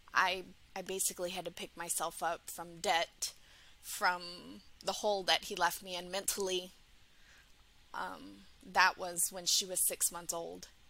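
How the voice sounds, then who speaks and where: A woman speaks fairly slowly in a fairly low pitch, with vocal fry and a bright, sharp tone. Her intonation stays flat while her loudness swings widely, and she pauses long and often. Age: 30s. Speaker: single mother seeking dating coaching. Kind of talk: coaching call.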